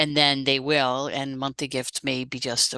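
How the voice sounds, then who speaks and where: At a moderate pace, a woman speaks with a very deep, low pitch and a bright, sharp tone, in a dry, close sound with no echo. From Netherlands, south near German and Belgian border. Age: 60s. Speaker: author and fundraising consultant. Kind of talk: interview.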